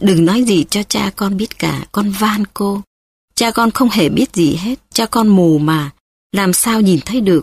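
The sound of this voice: An unforced reading voice with ordinary pitch variation against a quiet background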